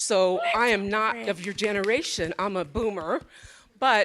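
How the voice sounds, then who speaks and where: Speaking at a fairly slow pace, a woman has an ordinary speaking voice, medium in pitch with ordinary pitch variation, on a very clean recording with a silent background. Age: 60s. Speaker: audience member, art registrar. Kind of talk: audience comment at panel Q&A.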